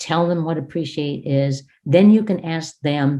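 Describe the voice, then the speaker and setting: On a very clean recording with a silent background, a woman speaks at a fairly slow pace in a dark, mellow tone. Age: 60s. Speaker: education trainer. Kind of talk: classroom teaching demonstration; lecture.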